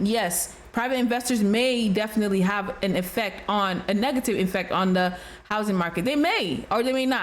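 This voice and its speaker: Speaking at a moderate pace in a room with audible echo, a woman with a slight Nigerian accent has a fairly high pitch and ordinary pitch variation. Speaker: realtor, reaction video host. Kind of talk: reaction commentary. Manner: casual, conversational with hesitations.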